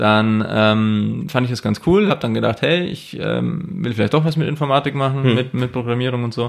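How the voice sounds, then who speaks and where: A man speaks at a moderate pace with lively intonation and a medium pitch. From Germany, same village area as host. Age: 20s. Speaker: doctoral student in computer science. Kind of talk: casual chat. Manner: halting, many filler sounds.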